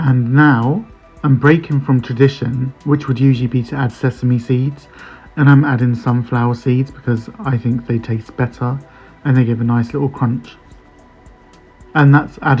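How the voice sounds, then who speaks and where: Music plays behind a man speaking in a relaxed tone. His intonation is flat and monotone. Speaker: home cook. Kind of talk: recipe voice-over. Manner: casual, relaxed.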